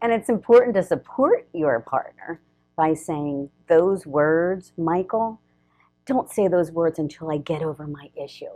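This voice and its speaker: A woman with fairly low pitch and lively intonation at a moderate pace, with music in the background. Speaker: relationship coach. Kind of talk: casual chat. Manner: loud.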